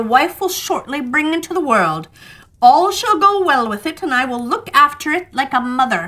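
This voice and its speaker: A woman's put-on character voice. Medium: read story. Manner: menacing.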